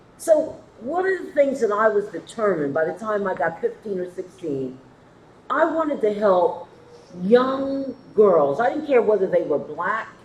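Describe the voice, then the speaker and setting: Her fairly high-pitched voice moves through very wide pitch swings. The woman keeps a moderate pace, with noticeable background noise behind her. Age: 60s. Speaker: panelist. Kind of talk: panel discussion.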